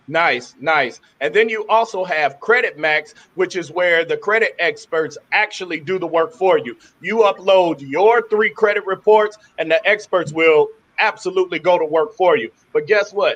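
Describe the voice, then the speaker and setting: This man has a high pitch and an animated tone. His pitch varies in an ordinary way. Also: moderate pace. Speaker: webinar host. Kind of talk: sales pitch. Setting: live webinar. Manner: stuttering.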